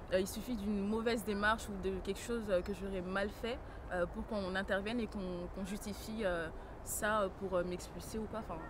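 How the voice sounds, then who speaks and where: With audible room echo around her, a woman of medium pitch speaks at a moderate pace in a monotone, flat intonation. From France (arrived as a young child). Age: 20s. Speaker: young immigrant woman, visitor at detention centre. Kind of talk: documentary interview. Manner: halting, many hesitations.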